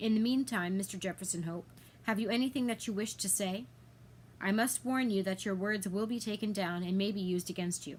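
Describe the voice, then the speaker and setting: At a fairly quick pace, a robotic, put-on character voice speaks with ordinary pitch variation amid clear background noise. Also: woman, medium pitch for a woman. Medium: read story. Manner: dull, mechanical.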